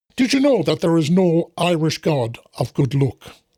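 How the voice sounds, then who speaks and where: A man performs a put-on character voice, high-pitched with very wide pitch swings, in a dry, close recording with no echo. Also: moderate pace. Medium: read story. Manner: earnest, instructive.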